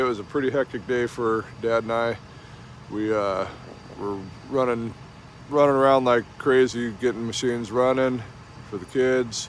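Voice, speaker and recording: There is light background noise and a dry sound with no echo as a man talks at a moderate pace with ordinary pitch variation. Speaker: vintage sled racer vlogger. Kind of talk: casual vlog chat. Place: street. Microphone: phone near.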